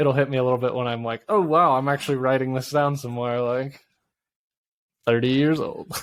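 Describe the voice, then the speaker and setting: A man at medium pitch talks in an unremarkable speaking voice. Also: fairly even intonation, fairly quick pace. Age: 30s. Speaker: podcast co-host. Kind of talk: casual chat. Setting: video call.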